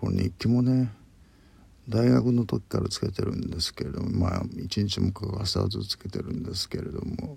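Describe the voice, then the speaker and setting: A man with a fairly low, dark, mellow voice and vocal fry speaks at a moderate pace. His intonation is lively. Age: 50s. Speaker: podcaster. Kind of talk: solo monologue. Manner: halting.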